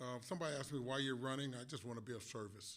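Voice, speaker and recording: Speaking with an American accent, a man has a bright, sharp tone, medium pitch and ordinary pitch variation. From Galesburg, Illinois, US Midwest. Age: 70s. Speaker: city council candidate, Vietnam veteran. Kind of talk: candidate forum speech. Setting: public forum, broadcast on radio. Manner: halting, many fillers.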